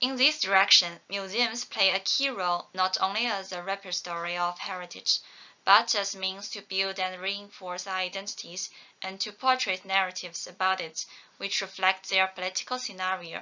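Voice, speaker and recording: Intonation remains fairly even. Delivery comes at a moderate pace. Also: woman. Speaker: conference presenter. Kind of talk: academic presentation. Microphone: webcam.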